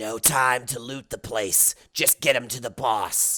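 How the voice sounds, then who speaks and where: This is a put-on character voice, raspy and low-to-middle in pitch. It moves at a fairly slow pace. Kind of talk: different character voice. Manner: curt, gruff.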